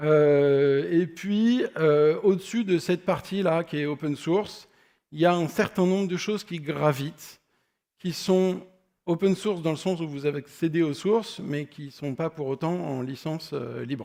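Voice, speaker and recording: Speaking fairly slowly, a man uses a fairly high pitch that shows ordinary pitch variation. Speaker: software architect, conference speaker. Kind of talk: conference talk. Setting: stage with audience. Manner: loud; hesitant, many fillers.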